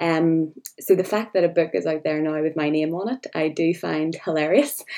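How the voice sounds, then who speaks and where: Speaking at a moderate pace, a woman with a Northern Irish accent has a dark, mellow tone. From Northern Ireland. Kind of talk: interview.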